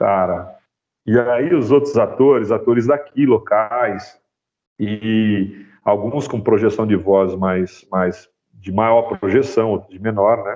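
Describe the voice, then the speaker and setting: Speaking very slowly at a medium pitch, a man varies his pitch in an ordinary way while his loudness swings widely. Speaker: sound designer and university professor. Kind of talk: guest talk in a class. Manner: varies pace, speeds up and slows down.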